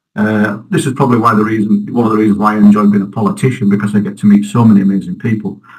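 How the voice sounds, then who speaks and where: A man with a Yorkshire accent speaks at a very fast pace, barely pausing at all. His pitch sits fairly low, and his intonation stays fairly even. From northern England, Halifax, West Yorkshire. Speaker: local election candidate. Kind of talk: interview.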